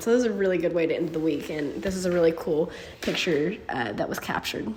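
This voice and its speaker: Here a woman has an ordinary speaking voice at a medium pitch. She speaks at a fairly quick pace. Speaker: amateur drag racer. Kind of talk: casual vlog talk to camera.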